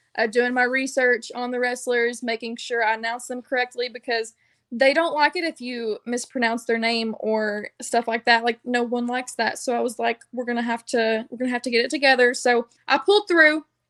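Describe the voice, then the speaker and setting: In a Southern US accent, a woman with a high pitch talks at a fairly quick pace with hardly any pauses and fairly even intonation, the sound dry and close with no echo. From US South. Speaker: wrestling ring announcer. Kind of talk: interview. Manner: casual, filler-heavy.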